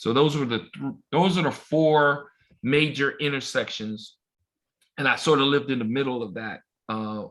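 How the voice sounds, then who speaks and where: A man with an American accent, a plain, everyday voice, medium pitch and ordinary pitch variation at a fairly slow pace. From Los Angeles, South Central. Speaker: baseball umpire. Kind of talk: casual chat.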